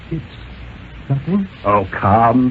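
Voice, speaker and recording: With noticeable background noise behind him, a man speaks at a fairly slow pace with lively intonation. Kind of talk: dramatic story reading, radio thriller narration.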